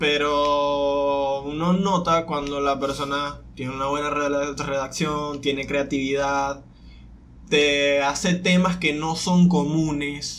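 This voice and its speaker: A man's flat, monotone voice, fairly high in pitch and very slow, with audible room echo and noticeable background noise. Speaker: podcast co-host. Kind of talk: casual chat.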